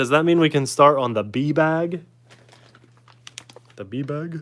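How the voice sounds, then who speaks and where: The man talks at a very slow pace in a fairly high pitch. There is noticeable background noise. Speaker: YouTuber building RC kit. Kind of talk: casual live stream chat. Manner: loud.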